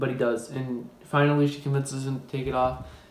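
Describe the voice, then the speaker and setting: The man keeps to a moderate pace. His voice carries audible room echo. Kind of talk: casual storytelling, film plot retelling. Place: kitchen. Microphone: phone near.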